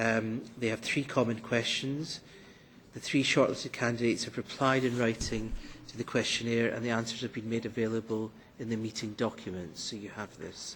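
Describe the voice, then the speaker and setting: This man speaks at a moderate pace and a medium pitch. His intonation stays fairly even. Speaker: committee chair. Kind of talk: formal committee proceedings. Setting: parliament committee meeting room. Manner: formal.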